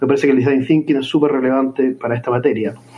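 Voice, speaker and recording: Fairly high-pitched male voice over noticeable background noise. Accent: Chilean. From Chile. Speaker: listener, master's student. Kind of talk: recorded voice message.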